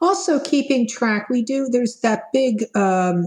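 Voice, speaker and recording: A somewhat breathy woman at a fairly slow pace, with lively intonation. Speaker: vaccine appointment volunteer. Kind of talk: interview.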